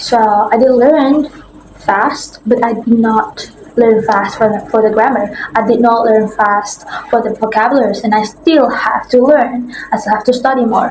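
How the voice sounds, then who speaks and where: A woman's fairly high pitch with an Indonesian accent, against noticeable background noise. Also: fairly even intonation, moderate pace. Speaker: language content creator. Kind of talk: casual vlog explanation. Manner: halting, with fillers and repetitions.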